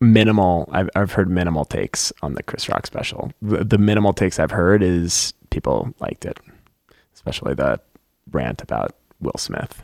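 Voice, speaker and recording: Vocal fry marks this man's very deep, low pitch, with lively intonation at a moderate pace. The sound is dry and close, with no echo. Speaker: teacher. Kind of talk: casual chat. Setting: studio.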